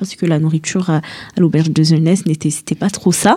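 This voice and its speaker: Her pitch moves in an ordinary way. The woman's tone is dark and mellow. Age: 20s. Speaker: young traveller. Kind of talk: radio interview.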